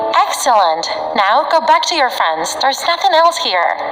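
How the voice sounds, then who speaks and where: A hoarse, put-on character voice at a moderate pace. Faint music plays behind it, with a slight echo. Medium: read story. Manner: playful, menacing.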